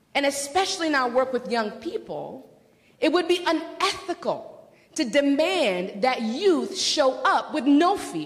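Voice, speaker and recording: A woman with a high voice speaks at a fairly slow pace, her pitch swinging very widely, with audible room echo and noticeable background noise. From Democratic Republic of Congo. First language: not English (English is her fourth language). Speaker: doctoral student and workshop presenter. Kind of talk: lecture.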